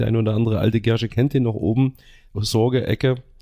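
Very fast pace with fairly even intonation. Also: man. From Gera, Thuringia, eastern Germany. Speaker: football fan group founder. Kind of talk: casual interview.

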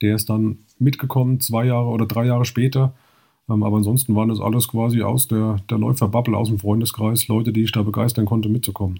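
A man talks at a very fast pace in a monotone, flat way, at medium pitch with a slight Hessian accent. His tone is dark and mellow, and his voice is somewhat breathy. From Hesse, Germany. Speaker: trail running blogger. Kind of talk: podcast interview.

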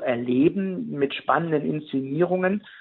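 A man talks at a fairly slow pace in an ordinary speaking voice. His pitch is fairly high and varies in an ordinary way. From Ruhr area, Germany. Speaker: museum director. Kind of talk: interview.

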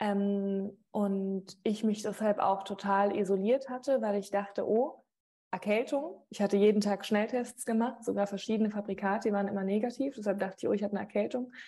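A woman with a dark, mellow tone talks fairly quickly at medium pitch with fairly even intonation. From Mainz area, Rhineland-Palatinate, moved often. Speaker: sports TV presenter. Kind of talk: interview.

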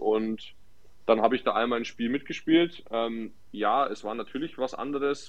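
With fairly even intonation and a moderate pace, this man talks at a medium pitch in an ordinary speaking voice. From Nuremberg, Franconia. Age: 20s. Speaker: footballer. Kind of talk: casual chat.

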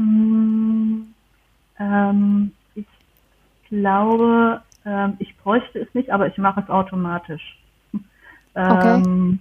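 Very slowly and with long, frequent pauses, a woman speaks in a flat, monotone intonation. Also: medium pitch for a woman. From Germany. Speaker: historian and archivist. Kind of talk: interview. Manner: halting, many fillers.

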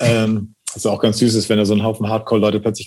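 A man's fairly low, dark and mellow voice, very fast and monotone with flat intonation. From northern Germany, rural Schleswig-Holstein. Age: 40s. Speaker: drummer and osteopath. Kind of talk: casual chat.

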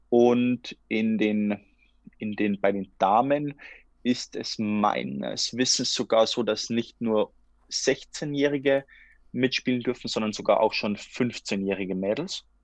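Speaking at a very slow pace, a man with a medium-pitched voice uses ordinary pitch variation, his sound dry and close with no echo against a quiet background. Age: 20s. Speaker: futsal player and master's student. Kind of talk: casual interview. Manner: halting, with repetitions and fillers.

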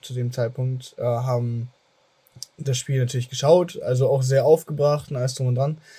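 With a dark, mellow tone and a somewhat breathy quality, this man holds his intonation fairly even. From Germany. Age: 20s. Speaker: podcast host. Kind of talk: casual chat.

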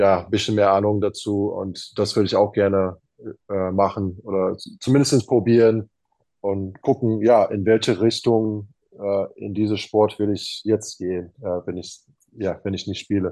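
In a fairly low, dark, mellow voice, a man speaks at a fairly slow pace with monotone, flat intonation. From Arizona, USA. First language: English (speaking German). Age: 30s. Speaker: professional basketball player. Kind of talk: interview. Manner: halting, many fillers.

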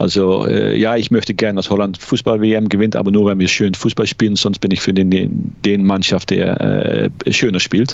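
This man talks at a moderate pace with hardly any pauses, his fairly low voice held in a monotone, flat intonation at very even loudness. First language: Dutch (speaking German). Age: 50s. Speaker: law lecturer, ice hockey fan. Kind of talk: casual interview. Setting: remote call. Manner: hesitant, many fillers.

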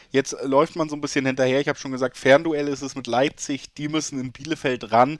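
Recorded dry and close with no echo against a silent background, a man with a medium pitch talks at a fairly quick pace in a very clean recording. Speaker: podcast host. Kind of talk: casual chat. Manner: animated.

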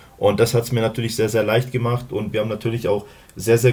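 A man speaks at a medium pitch in a dark, mellow tone. His delivery is somewhat breathy and monotone, with flat intonation. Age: 30s. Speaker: American football player. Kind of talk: casual interview.

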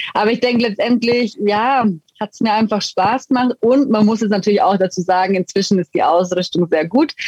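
A woman with an Allgäu accent talks at a fairly quick pace in a fairly high pitch with ordinary pitch variation. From Allgäu, Bavaria (Füssen). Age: 30s. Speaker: retired ice hockey goaltender. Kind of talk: interview.

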